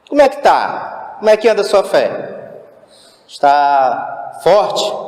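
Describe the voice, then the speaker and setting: A man's very slow speech carries audible room echo. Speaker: lay preacher. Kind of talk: sermon. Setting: church. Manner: loud.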